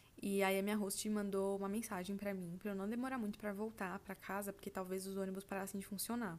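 A woman races along at a very fast pace with hardly any pauses, her pitch medium. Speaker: podcast host. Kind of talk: casual storytelling monologue. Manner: animated.

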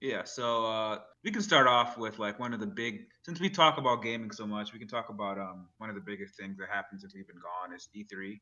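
A plain, everyday voice: a man at medium pitch, with ordinary pitch variation, big swings in loudness and hardly any pauses. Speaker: podcast co-host. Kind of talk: casual chat.

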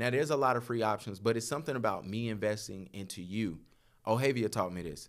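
A man with a plain, everyday voice, fairly quick pace and lively intonation, in a very clean recording with a silent background. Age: 30s. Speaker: photographer. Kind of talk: casual chat.

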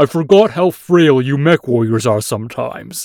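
Here a man uses a put-on character voice at a fairly high pitch. He keeps a moderate pace. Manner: challenging, grim.

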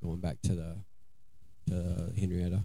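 A man with an American accent speaks at a fairly slow pace in a very deep, low pitch, his tone dark, mellow, and somewhat breathy. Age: 40s. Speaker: recovering addict. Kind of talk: testimony.

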